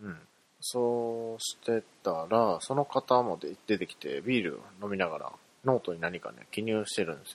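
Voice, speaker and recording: An unremarkable speaking voice from a man at medium pitch, with ordinary pitch variation and big swings in loudness. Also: moderate pace. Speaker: podcast host. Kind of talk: casual solo monologue.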